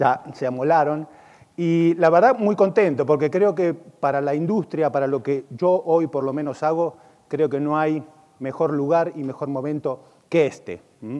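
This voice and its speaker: This man's pitch is fairly high with ordinary pitch variation. He talks at a fairly slow pace. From Argentina. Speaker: e-commerce consultant and conference speaker. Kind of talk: conference keynote. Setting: stage with audience at a conference.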